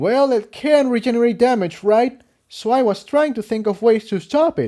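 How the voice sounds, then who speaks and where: Using a put-on character voice, a man speaks at an extremely high pitch. His pace is moderate. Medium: read story.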